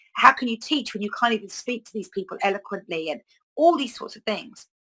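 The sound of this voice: Speaking at a fast pace, a woman shows ordinary pitch variation. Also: fairly bright tone.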